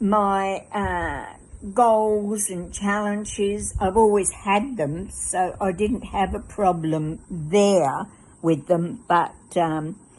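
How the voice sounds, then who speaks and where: Over a quiet background, a voice in an Australian accent moves at a very slow pace with ordinary pitch variation. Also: woman, medium pitch for a woman. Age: 80s+. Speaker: fitness client. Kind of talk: testimony. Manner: halting.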